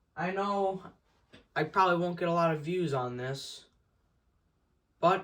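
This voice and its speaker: The voice is loud, delivered at a fairly slow pace with ordinary pitch variation. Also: man. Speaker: small YouTuber. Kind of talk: casual update vlog. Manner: stuttering, halting.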